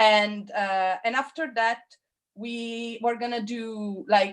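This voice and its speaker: A woman's fairly high voice with a non-native accent and fairly even intonation. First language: not English. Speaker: figure drawing teacher. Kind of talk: online class instruction.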